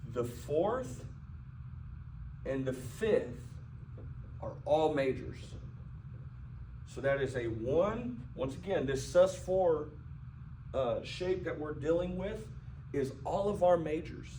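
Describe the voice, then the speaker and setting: Lively intonation marks a man's fairly high voice at a very slow pace, with long, frequent pauses. Audible room echo surrounds it. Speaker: piano teacher. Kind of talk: tutorial. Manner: halting.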